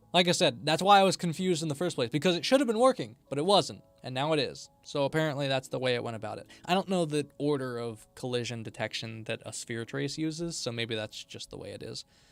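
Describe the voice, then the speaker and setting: A man's fairly high voice at a very fast pace, with hardly any pauses, lively intonation, big swings in loudness and music in the background. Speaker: streamer and game developer. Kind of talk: live stream commentary while coding. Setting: live stream.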